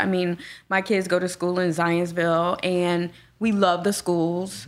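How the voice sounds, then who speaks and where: Over a very clean recording with a silent background, a woman with an American accent speaks in a normal speaking voice, fairly low in pitch, at a moderate pace. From Gary, Indiana. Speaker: property management business owner. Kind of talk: casual chat.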